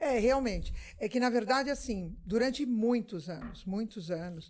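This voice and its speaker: A woman speaks with a normal speaking voice at a fairly slow pace. Her pitch is fairly high and her intonation lively. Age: 60s. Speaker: political activist. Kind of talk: casual interview chat.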